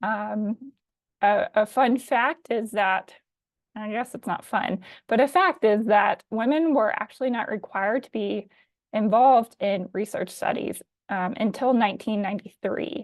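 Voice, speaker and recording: A woman with a slight Alabama accent and a fairly high voice speaks with ordinary pitch variation and big swings in loudness, the sound dry and close with no echo over a quiet background. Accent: slight Southern US, Alabama. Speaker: physician assistant. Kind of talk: webinar presentation. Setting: live online webinar. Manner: frequent um fillers.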